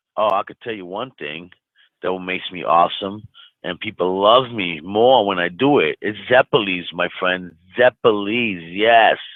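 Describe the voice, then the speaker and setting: Fairly low in pitch with ordinary pitch variation, a man speaks at a fairly slow pace with big swings in loudness. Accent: New York. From New York, Brooklyn. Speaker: chat room regular. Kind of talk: casual group chat. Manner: animated.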